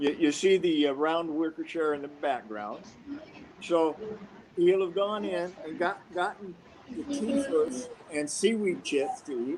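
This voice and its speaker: Noticeable background noise sits behind a man with an American accent and a high pitch. He speaks at a fairly slow pace with very wide pitch swings. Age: 70s. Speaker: karate master. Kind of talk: storytelling in live video conference. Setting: live video call.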